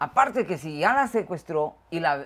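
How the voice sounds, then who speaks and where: Fairly low-pitched woman speaking at a fairly slow pace with very wide pitch swings. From Guatemala. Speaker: show host. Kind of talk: casual chat.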